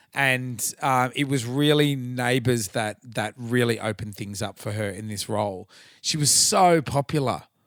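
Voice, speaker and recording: In a very clean recording with a silent background, a man with an Australian accent talks at a moderate pace, his pitch medium and his pitch variation ordinary. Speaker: podcast host and tribute band singer. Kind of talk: casual chat.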